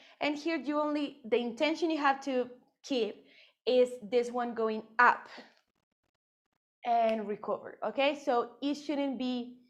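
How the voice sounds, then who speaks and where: In a Spanish accent, a woman speaks at a very slow pace with a high pitch. Her pitch varies in an ordinary way against a quiet background. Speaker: dance teacher. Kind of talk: dance class instruction. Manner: rhythmic counting.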